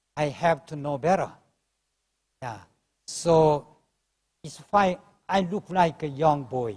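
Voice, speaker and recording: A man with a Korean accent speaks very slowly at a fairly high pitch, with ordinary pitch variation. His loudness swings widely, and he takes long, frequent pauses. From South Korea. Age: 70s. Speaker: professor. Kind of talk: live panel interview. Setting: conference stage with audience. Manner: halting.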